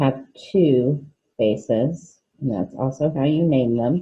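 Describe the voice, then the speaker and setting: This woman's voice has a dark, mellow tone and is somewhat breathy. She talks at a very slow pace with ordinary pitch variation. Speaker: fifth grade teacher. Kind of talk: recorded online lesson.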